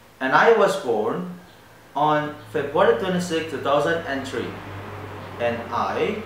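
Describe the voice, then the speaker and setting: Very slow speech with audible room echo and light background noise. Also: man. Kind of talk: self-introduction monologue. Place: cafe. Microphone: camera far.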